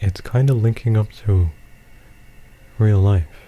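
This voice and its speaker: A soft-spoken man with a dark, mellow, somewhat breathy voice, a relaxed tone, fairly even intonation and a fairly slow pace. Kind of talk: gameplay commentary. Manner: rambling, relaxed.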